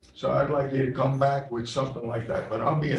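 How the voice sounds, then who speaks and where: A man in a Bronx accent at medium pitch, with vocal fry and audible room echo. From New York City, the Bronx. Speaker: county legislator. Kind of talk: committee meeting debate. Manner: conversational, emphatic.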